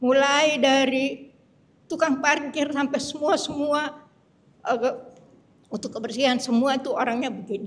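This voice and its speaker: Leaving long, frequent pauses, a woman speaks at a fairly slow pace in a high pitch with fairly even intonation. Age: 70s. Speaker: healing testimony giver. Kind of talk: testimony. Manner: halting.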